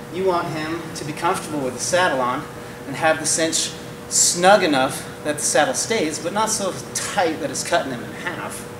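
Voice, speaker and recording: Over noticeable background noise, a man talks in a high voice at a moderate pace. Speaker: horse trainer. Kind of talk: tutorial. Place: hall. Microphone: camera far.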